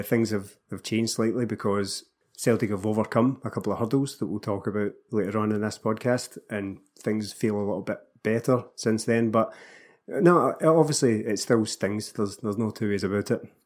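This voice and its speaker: The recording is very clean with a silent background. A man with a Scottish accent talks at medium pitch and a moderate pace. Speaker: Celtic podcast co-host. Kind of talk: casual chat about football.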